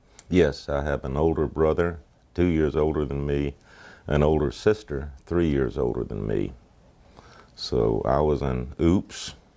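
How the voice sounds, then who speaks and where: In an Appalachian accent, a man talks at a fairly slow pace. His very deep, low voice has a dark, mellow tone and ordinary pitch variation. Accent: Southern US (Appalachian). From US South, North Georgia mountains. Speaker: war veteran. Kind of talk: oral history interview.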